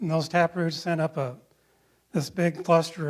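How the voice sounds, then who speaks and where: On a very clean recording with a silent background, a man talks at a moderate pace with a US Midwestern accent. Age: 60s. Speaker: ecologist. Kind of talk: lecture.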